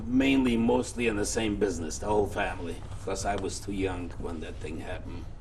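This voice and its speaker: A man talks fairly quickly with hardly any pauses, using lively intonation at a fairly low pitch. Noticeable background noise and audible room echo accompany him. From Poland, near Warsaw. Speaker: Holocaust survivor. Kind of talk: oral history interview.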